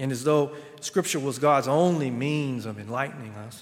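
Speaking at a moderate pace, this man has a Southern US accent. His pitch is fairly high, with ordinary pitch variation. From South Carolina. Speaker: guest preacher. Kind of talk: sermon. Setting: church.

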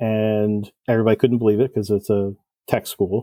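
A man's ordinary speaking voice with an American accent, medium-pitched, with fairly even intonation and a moderate pace. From New Jersey. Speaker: cylinder head porter and engine builder. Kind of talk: podcast interview.

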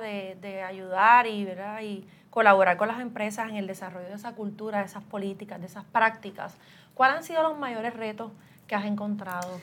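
She has an ordinary speaking voice at a fairly high pitch, moving at a moderate pace. The woman's loudness swings widely. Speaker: human resources director and podcast host. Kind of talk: interview.

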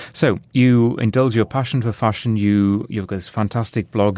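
Against a quiet background, a man speaks in a fairly low pitch. His tone is dark and mellow, with fairly even intonation. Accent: British. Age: 50s. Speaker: podcast host and broadcaster. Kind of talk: casual interview chat.

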